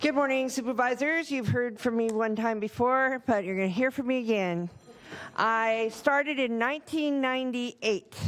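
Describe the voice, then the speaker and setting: A woman talks at a moderate pace with a high pitch and ordinary pitch variation. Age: 60s. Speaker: home care worker. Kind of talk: public comment. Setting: county board meeting.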